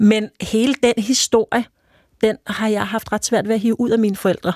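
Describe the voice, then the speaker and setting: On a very clean, silent-background recording with a dry, close sound and no echo, a woman talks at a moderate pace in an ordinary speaking voice, fairly high in pitch with fairly even intonation. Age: 40s. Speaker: journalist and author. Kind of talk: casual chat.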